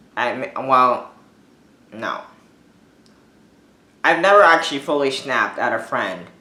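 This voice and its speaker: A man speaks at a medium pitch and a fairly slow pace. Some room echo can be heard. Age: 20s. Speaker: vlogger with dwarfism. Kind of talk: casual monologue. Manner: informal, many fillers.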